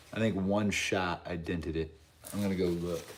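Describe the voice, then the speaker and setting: Audible room echo surrounds a man with a very deep, low voice. He keeps a moderate pace and fairly even intonation. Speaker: slingshot livestreamer. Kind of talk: casual live stream chat.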